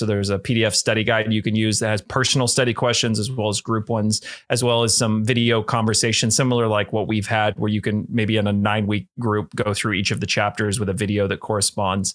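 In a very clean recording with a silent background, a man with a fairly low pitch talks very fast in a monotone, flat intonation. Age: 30s. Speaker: pastor and author. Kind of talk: interview.

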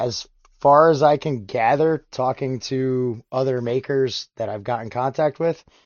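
A man speaks fairly slowly at a medium pitch, with ordinary pitch variation. His is a plain, everyday voice. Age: 30s. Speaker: blacksmith and iron smelter. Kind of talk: casual chat.

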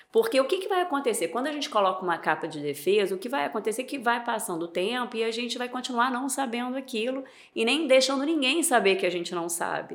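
This woman has a high-pitched voice. Her tone is bright and sharp. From Niterói, Rio de Janeiro, Brazil. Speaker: leadership and HR consultant. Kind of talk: casual interview chat.

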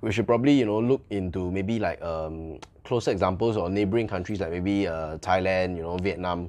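Here a man talks at a fairly quick pace with a Malaysian accent. His pitch is very deep and low. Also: ordinary pitch variation. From Malaysia, Subang, Kuala Lumpur area. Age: young. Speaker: bubble tea franchise owner. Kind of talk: interview. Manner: hesitant, many fillers.

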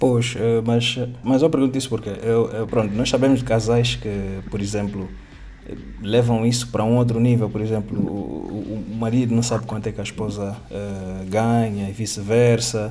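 A man speaks at a moderate pace and a medium pitch, with fairly even intonation. Noticeable background noise and audible room echo surround his voice. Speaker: podcast host. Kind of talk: casual interview.

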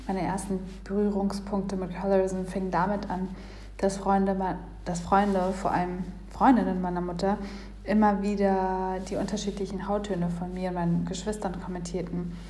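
A woman speaks at a medium pitch and a moderate pace. Her intonation is flat and monotone, and the room echo is audible. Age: 20s. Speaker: listener submission. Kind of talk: reading aloud.

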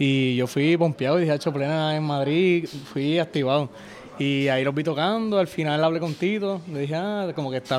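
Speaking at a fairly quick pace, a man has an unremarkable speaking voice, fairly high pitch and ordinary pitch variation. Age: 20s. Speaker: folk musician, member of a plena group. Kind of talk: casual interview chat.

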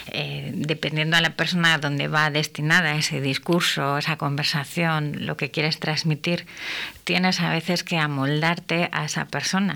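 Her very deep, low pitch carries vocal fry and a bright, sharp tone as the woman speaks at a moderate pace in a monotone, flat intonation. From Castile, Spain. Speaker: speech therapist and radio host. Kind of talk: radio talk show. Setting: radio studio.

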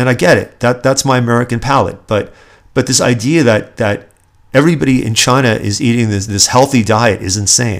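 The speaker has a plain, everyday voice and a fairly quick pace. Pitch variation is ordinary. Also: man, medium pitch for a man. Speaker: podcast host. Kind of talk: solo political commentary podcast, ranting. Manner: angry, indignant, sarcastic, worked-up; conversational, self-deprecating, chatty.

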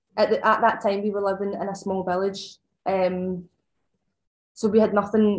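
Monotone, flat delivery from a woman at medium pitch. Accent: Scottish. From Scotland, Ayrshire. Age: 20s. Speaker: farm shop owner. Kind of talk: casual chat. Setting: in person.

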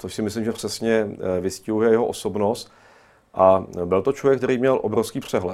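A man's fairly low voice keeps a fairly even intonation as he talks. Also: moderate pace. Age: 40s. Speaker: historian. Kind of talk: studio interview. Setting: studio. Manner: halting.

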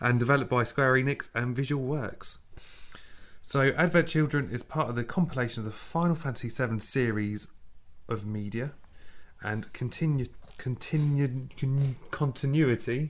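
A man talks at a moderate pace with a southern English accent. His pitch is medium, with ordinary variation. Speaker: podcast co-host. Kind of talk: casual chat.

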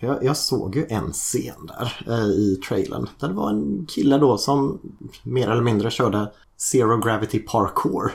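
A man at a medium pitch with vocal fry, lively intonation and a fairly slow pace. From Sweden, Gothenburg. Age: 40s. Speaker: teacher, podcast guest. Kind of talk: casual chat.

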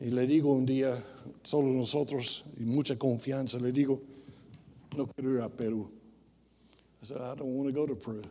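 Speaking with an American accent, a man at medium pitch uses a dark, mellow tone and fairly even intonation, moving at a fairly quick pace broken by long, frequent pauses. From US South, rural Tennessee. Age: 60s. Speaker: missionary preacher. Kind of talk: bilingual sermon, self-interpreting English and Spanish. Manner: switches between English and Spanish mid-sentence; halting, many filler sounds.

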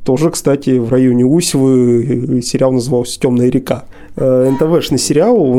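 A man at medium pitch talks in a normal speaking voice. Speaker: podcast host. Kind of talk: casual interview chat.

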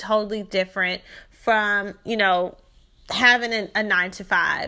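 On a very clean recording with a silent background, a woman with a Southern US accent speaks at a moderate pace, her medium-pitched voice bright and sharp in tone with fairly even intonation. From Shreveport, Louisiana. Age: 20s. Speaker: podcast host, credit consultant. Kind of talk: personal storytelling monologue. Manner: casual, chatty.

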